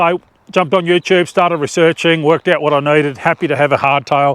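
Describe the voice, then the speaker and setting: Talking very fast, a man with an Australian accent keeps a fairly high pitch and fairly even intonation. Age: 50s. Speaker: outdoor adventure vlogger. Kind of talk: casual product review. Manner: halting.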